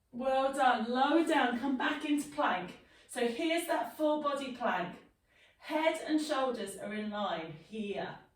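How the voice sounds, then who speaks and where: A woman's high-pitched, fairly slow speech with lively intonation and audible room echo. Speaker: fitness instructor. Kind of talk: exercise class instruction.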